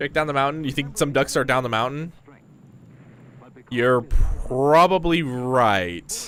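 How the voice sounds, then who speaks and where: Fairly slow and marked by long, frequent pauses, a man talks at a fairly high pitch. His pitch varies in an ordinary way. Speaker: VTuber streamer. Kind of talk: casual gaming livestream chat. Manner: animated.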